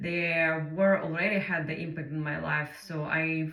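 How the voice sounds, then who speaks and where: Against noticeable background noise and audible room echo, a woman with a Ukrainian accent speaks at a fairly slow pace in a flat monotone. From Ukraine. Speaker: English learner sharing personal story. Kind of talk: personal monologue. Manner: halting, many fillers.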